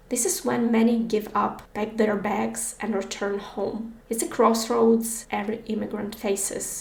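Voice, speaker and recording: Speaking fairly slowly with hardly any pauses, a woman with a Ukrainian accent has a fairly high pitch and fairly even intonation, over noticeable background noise. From Ukraine. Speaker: podcast host. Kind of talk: personal narration.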